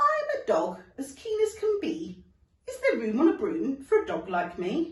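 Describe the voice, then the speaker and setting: This put-on character voice sits at an extremely high pitch. The pace is moderate. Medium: read story.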